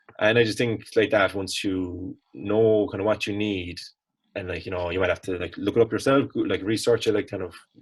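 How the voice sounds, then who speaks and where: A somewhat breathy man with a Cork accent talks at a fairly quick pace with fairly even intonation. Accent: Cork Irish. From Ireland, Cork. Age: 20s. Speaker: college student, fitness enthusiast. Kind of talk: casual interview chat.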